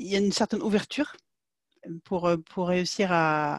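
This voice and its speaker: A woman's voice, dry and close with no echo, in a very clean recording against a silent background. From Sweden. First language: Swedish (speaking French). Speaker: market researcher. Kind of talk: interview. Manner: halting.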